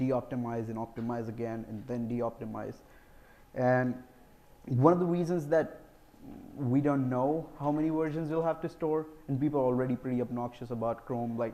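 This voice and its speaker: This man's voice sits at a medium pitch with a dark, mellow tone. His pitch varies in an ordinary way. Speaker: software engineer, conference speaker. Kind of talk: conference Q&A. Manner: fast.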